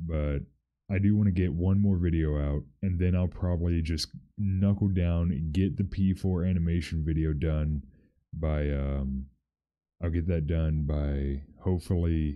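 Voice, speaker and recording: A soft-spoken man has a very deep, low pitch. His intonation stays fairly even. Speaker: streamer / video creator. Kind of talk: casual livestream chat. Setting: livestream. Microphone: good mic, possible dropouts from noise cancellation.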